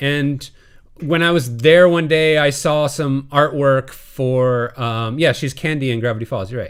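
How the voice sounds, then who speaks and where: A man with an unremarkable speaking voice talks at a fairly slow pace in a medium pitch with fairly even intonation. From US Midwest (Illinois, south of Chicago). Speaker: TV animation composer. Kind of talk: webinar Q&A talk. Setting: live online webinar. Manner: casual with many fillers.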